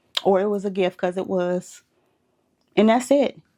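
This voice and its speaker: A woman with an American accent, a dark, mellow tone, a moderate pace and a quiet background. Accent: Southern US, comes out when passionate. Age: 30s. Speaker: spiritual advice vlogger. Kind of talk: motivational monologue. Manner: animated.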